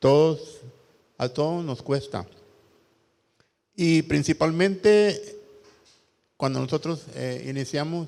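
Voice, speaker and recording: A man speaks at a very slow pace. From El Salvador, Santa Tecla. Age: 60s. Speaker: rock musician. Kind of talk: panel talk. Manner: halting, many repetitions.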